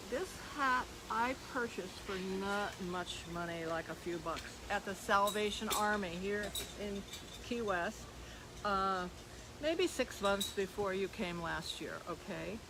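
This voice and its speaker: With noticeable background noise behind her, a woman of medium pitch speaks at a fairly slow pace with ordinary pitch variation and long, frequent pauses. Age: 80s+. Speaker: parrot sanctuary owner. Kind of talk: casual chat. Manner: halting.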